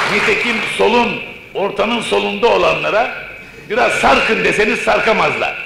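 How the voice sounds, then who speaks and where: The speech moves at a fairly slow pace. Noticeable background noise and audible room echo fill the recording. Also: man. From Istanbul, Turkey. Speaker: poet and thinker. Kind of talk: public lecture. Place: hall. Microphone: old recording.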